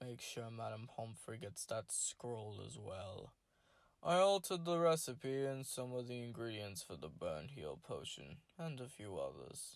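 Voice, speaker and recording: In a put-on character voice, a man drawls at a moderate pace. His medium-pitched voice swings very widely up and down. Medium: read story. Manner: drawling.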